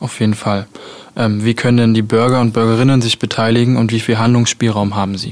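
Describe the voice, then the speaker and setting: Speaking at a fairly quick pace, a man of medium pitch has a plain, everyday voice. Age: 20s. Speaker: student radio host. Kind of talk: radio interview.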